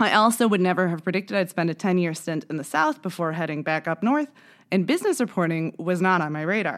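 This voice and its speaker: A woman with an unremarkable speaking voice talks at a fairly quick pace. Her pitch is fairly low, with ordinary variation. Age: 30s. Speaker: podcast host. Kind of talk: scripted narration.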